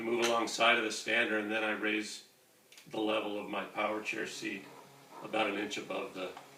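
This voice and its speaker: A man with a fairly low pitch speaks at a fairly quick pace in monotone, flat intonation, with audible room echo and noticeable background noise. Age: 50s. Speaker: wheelchair user demonstrating mobility. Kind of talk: tutorial. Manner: halting.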